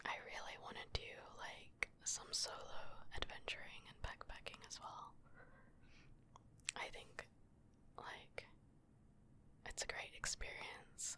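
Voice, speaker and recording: Whispering, a woman speaks at a fairly slow pace. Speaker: ASMR creator. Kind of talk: ASMR whispered reading of viewer messages. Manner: soft-spoken.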